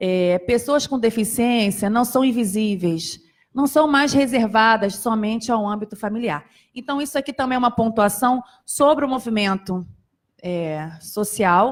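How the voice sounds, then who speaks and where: A woman's somewhat breathy, fairly high voice at a fairly slow pace, with ordinary pitch variation. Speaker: psychologist and accessibility committee member. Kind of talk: panel talk. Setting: auditorium with audience.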